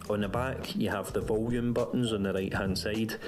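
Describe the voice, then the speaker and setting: Over music in the background, a man with a fairly low pitch speaks at a moderate pace in a flat monotone, with audible room echo. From Scotland. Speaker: tech reviewer. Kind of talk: product review.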